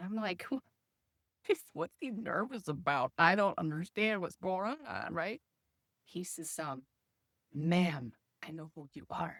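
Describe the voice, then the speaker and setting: A woman's fairly low voice with lively intonation, big swings in loudness, a fairly slow pace and long, frequent pauses, in a dry, close sound with no echo. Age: 50s. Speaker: podcast host. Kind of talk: casual storytelling monologue. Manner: animated.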